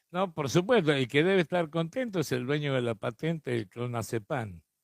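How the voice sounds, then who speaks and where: Lively intonation at a moderate pace, in a dry, close sound with no echo. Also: man. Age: 60s. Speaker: radio host. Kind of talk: radio interview. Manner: casual.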